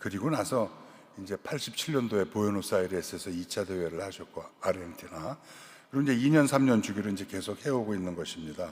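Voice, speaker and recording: A man talks very fast with lively intonation and a fairly low pitch. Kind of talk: lecture. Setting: cathedral lecture event.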